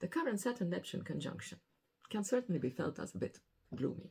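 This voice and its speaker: A woman talks at a fairly quick pace. She has a non-native accent. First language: not English. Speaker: astrologer. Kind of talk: weekly astrology forecast monologue.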